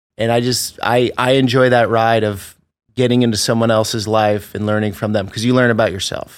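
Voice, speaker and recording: A man with an American accent, a fairly quick pace and monotone, flat intonation. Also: medium pitch for a man, very clean recording, silent background. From US Northeast, Vermont. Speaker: travel vlogger. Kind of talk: interview.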